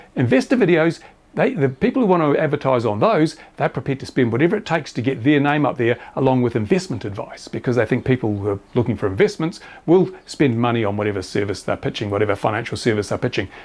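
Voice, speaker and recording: Here a man talks at a very fast pace with an Australian accent. His medium-pitched voice carries lively intonation. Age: 70s. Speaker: YouTuber reviewing RC model planes and drones. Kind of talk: casual commentary.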